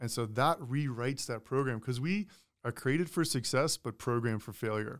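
A man speaks in a normal speaking voice at medium pitch and a fairly quick pace, on a very clean recording with a silent background. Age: 30s. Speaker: purpose coach and former pro football player. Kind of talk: casual interview chat.

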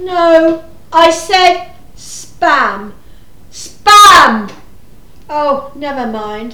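In a put-on character voice, a woman speaks at a very slow pace with a high pitch and a bright, sharp tone, amid audible room echo. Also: lively intonation.

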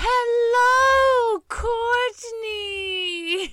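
Putting on a character voice, a woman squeaks at an extremely high pitch. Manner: cheerful greeting.

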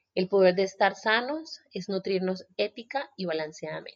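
A woman speaks in an ordinary speaking voice at medium pitch. Her intonation is lively. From Colombia, Buenaventura (Pacific coast, Valle del Cauca). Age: 20s. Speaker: podcast host and journalist. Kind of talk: solo podcast monologue. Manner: warm.

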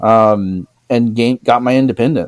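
A man's voice in a dry, close sound with no echo. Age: 30s. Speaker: podcast co-host and assistive device maker. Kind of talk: casual chat.

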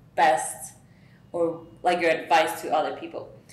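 Noticeable background noise and audible room echo around a woman's voice, fairly low in pitch. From Mexico. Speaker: podcast host. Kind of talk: interview.

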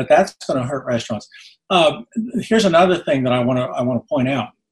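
Recorded dry and close with no echo, a man speaks at medium pitch in a somewhat breathy voice. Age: 70s. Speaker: economist. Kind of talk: radio interview.

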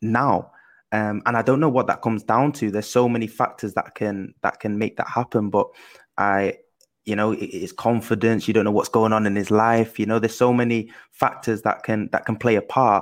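On a very clean recording with a silent background, a man with a medium pitch speaks at a moderate pace in an energetic tone. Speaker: professional footballer and co-host. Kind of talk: casual chat.

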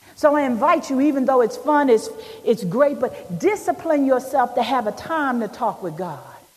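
At a moderate pace, a woman speaks in a warm, animated tone, her high pitch swinging very widely over noticeable background noise. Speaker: preacher. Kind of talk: sermon. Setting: church. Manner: animated, call-and-response, urging the congregation to answer amen; warm, emphatic, building to an uplifting close.

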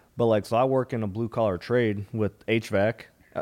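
A man's normal speaking voice at a medium pitch, at a fairly quick pace, in a very clean recording with a silent background. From US Midwest (Minnesota). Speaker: stand-up comedian. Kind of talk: casual chat.

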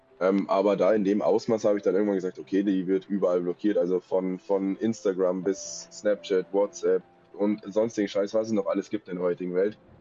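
Music plays in the background. The speech moves at a fairly quick pace with fairly even intonation and hardly any pauses. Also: man. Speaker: stalking victim telling his story. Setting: remote call with poor mic.

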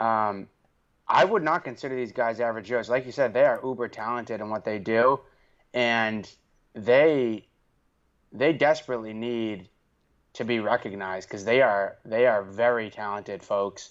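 A man with a Boston accent speaks at a medium pitch with ordinary pitch variation, leaving long, frequent pauses over a quiet background. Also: moderate pace. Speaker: podcast host. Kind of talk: casual chat.

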